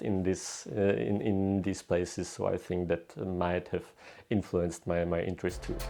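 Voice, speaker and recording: Against a quiet background, a man with a Czech accent speaks in a dark, mellow voice. His pitch is very deep and low, with ordinary pitch variation. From Czech Republic, southern Bohemia. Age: 20s. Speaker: historian. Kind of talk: interview. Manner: halting, many fillers and restarts.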